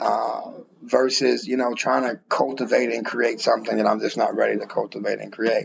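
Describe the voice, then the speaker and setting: Noticeable background noise and a man speaking at a moderate speed. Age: 30s. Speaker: podcast host. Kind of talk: casual chat.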